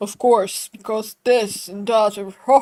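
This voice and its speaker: In a raspy, put-on character voice, a female-sounding speaker talks at a fairly slow pace and a fairly high pitch. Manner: tempered, measured.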